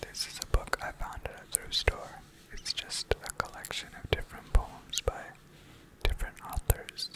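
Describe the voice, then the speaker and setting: The pace is moderate. Every word is whispered. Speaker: asmr creator. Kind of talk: ASMR poetry reading. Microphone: studio mic.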